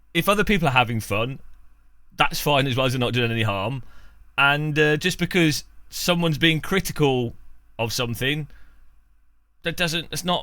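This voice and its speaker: Bright and sharp in tone, a man talks at a moderate pace with a fairly high pitch, lively intonation and long, frequent pauses. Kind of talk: casual talk to camera. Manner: hesitant, rambling.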